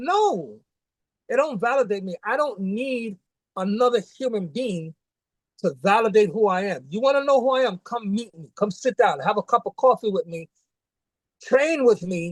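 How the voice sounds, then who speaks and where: Speaking with a New York accent, a man with a high pitch talks at a moderate pace, his intonation lively and his loudness swinging widely, in a dry, close sound with no echo. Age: 60s. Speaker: martial arts grandmaster. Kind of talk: casual interview chat. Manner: animated.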